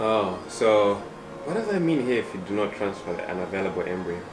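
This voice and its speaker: With music in the background and audible room echo, a man at medium pitch speaks at a fairly quick pace with lively intonation. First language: not English. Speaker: parent vlogger. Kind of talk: casual chat.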